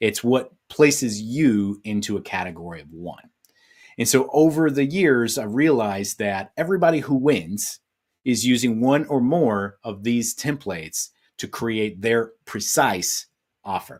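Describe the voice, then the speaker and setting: In an ordinary speaking voice, a man talks at a fairly slow pace and medium pitch with lively intonation and big swings in loudness, in a very clean recording with a silent background. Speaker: business coach. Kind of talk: presentation. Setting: virtual summit live stream.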